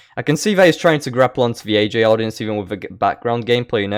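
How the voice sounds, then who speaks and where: Speaking at medium pitch, a man has a non-native accent. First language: not English. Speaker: gaming YouTuber. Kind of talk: reaction commentary. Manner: sarcastic, mocking.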